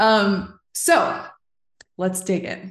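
Somewhat breathy, a woman talks at a medium pitch. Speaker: podcast host. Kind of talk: casual interview chat.

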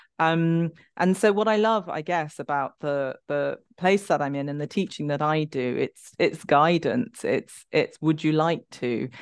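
Over a quiet background, a woman with a London accent speaks in a very deep, low voice with ordinary pitch variation and hardly any pauses. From London, England. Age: 50s. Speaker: somatic movement educator and author. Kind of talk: interview conversation.

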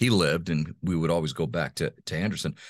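A man talks with a very deep, low pitch, vocal fry and lively intonation. The sound is dry and close with no echo, on a very clean recording with a silent background. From Honduras (raised by missionary parents). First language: Spanish (bilingual). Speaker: voice-over artist and former radio host. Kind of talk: interview conversation. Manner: halting, many repetitions.

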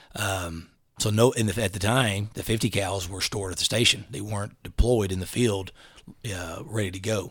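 A man speaks at a moderate pace with a fairly low, somewhat breathy voice and fairly even intonation. His loudness swings a lot, and the recording is very clean with a silent background. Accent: East Texas. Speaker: SWAT officer. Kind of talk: casual chat.

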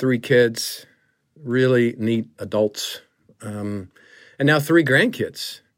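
A man speaks at a medium pitch and a very slow pace. The recording is very clean, with a silent background. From US South, Griffin, Georgia. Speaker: pastor. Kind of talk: testimony. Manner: halting, many fillers.

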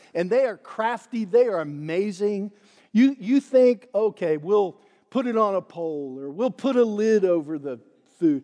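At a fairly slow pace, a man speaks in a high pitch with lively intonation and a dark, mellow tone. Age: 60s. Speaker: pastor. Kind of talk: sermon. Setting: church.

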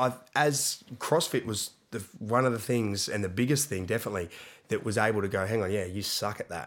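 In a very clean recording with a silent background, a man with an Australian accent talks at a fairly quick pace, his fairly low pitch showing ordinary variation. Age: 30s. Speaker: CrossFit gym owner and coach. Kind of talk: casual chat.

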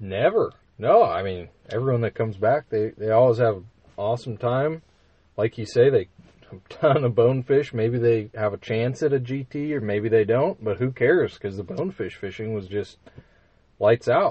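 The voice is somewhat breathy, with an American accent, a moderate pace, ordinary pitch variation and big swings in loudness. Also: man, medium pitch for a man. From Minnesota. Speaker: fly shop manager, former fishing guide. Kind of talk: casual chat. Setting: studio.

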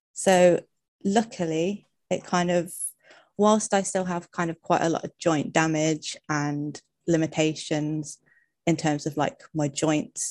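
Very deep and low-pitched, a woman speaks at a fairly slow pace with an English accent. The background is quiet. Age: 30s. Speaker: occupational therapy student with arthritis. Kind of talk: casual interview. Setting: live stream.

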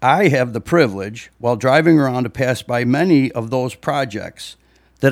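On a very clean recording with a silent background, a man with an American accent and a normal speaking voice talks at a moderate pace and medium pitch with ordinary pitch variation. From US Midwest (Libertyville, Illinois). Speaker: parishioner and father giving reflection. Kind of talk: church reflection speech. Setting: church during Mass. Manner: formal.

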